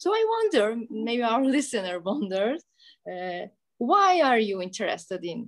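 Using lively intonation, a woman with a Turkish accent speaks at a fairly slow pace and a fairly high pitch. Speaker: English teacher hosting school program. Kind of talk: school radio interview. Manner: formal.

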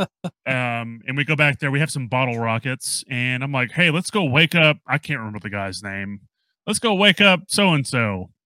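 A man's bright, sharp voice moves in very wide pitch swings, with a dry, close sound and no echo. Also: medium pitch for a man, moderate pace. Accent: American. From US South. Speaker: podcast host. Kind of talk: casual chat. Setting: video call. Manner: casual, halting.

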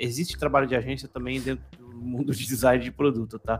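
A man's medium-pitched voice with vocal fry and ordinary pitch variation. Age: 40s. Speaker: podcast host, designer. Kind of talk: casual chat.

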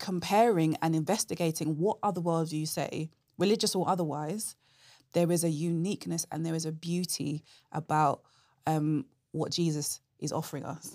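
Recorded very cleanly against a silent background, with a dry, close sound and no echo, a woman speaks at a moderate pace with a fairly low pitch. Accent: London. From London. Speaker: apologetics speaker. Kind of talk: conversational interview answers.

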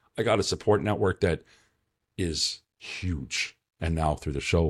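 Speaking at a moderate pace, a man with a very deep, low pitch and vocal fry swings widely in loudness, in a dry, close recording with no echo. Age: 40s. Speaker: podcast host in addiction recovery. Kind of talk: casual interview chat. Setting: video call.

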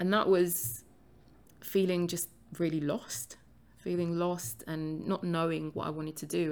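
A woman speaks in a London accent with a very deep, low pitch. Her pace is moderate and her pitch variation ordinary. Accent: London English, UK. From London, England. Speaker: podcast host and author.

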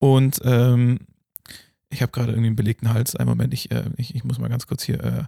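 A man's fairly quick speech is captured with a dry, close sound and no echo. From Germany. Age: 20s. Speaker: podcast host. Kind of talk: casual chat.

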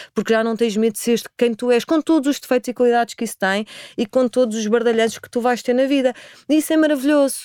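Very fast and high-pitched, a woman speaks in a dark, mellow tone. The sound is dry and close with no echo. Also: very clean recording, silent background. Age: 40s. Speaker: spiritual practitioner. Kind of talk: interview conversation.

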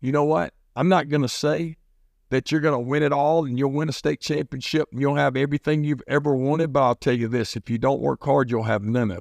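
In a normal speaking voice, a man with a fairly high pitch and ordinary pitch variation talks at a fairly quick pace, the sound dry and close with no echo over a quiet background. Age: 50s. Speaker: high school football coach. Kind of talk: motivational devotional monologue. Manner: conversational, with many fillers.

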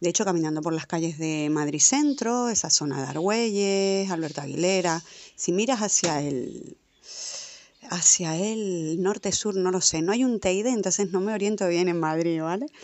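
A woman with an unremarkable speaking voice and medium pitch talks at a moderate pace with lively intonation. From Canary Islands, Tenerife. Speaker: podcast co-host. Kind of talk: spoken audio letter.

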